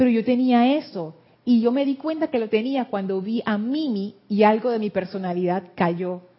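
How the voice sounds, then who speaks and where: A woman with a fairly high, somewhat breathy voice talks at a moderate speed, her intonation lively. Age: 60s. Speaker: spiritual teacher. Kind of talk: group class discussion.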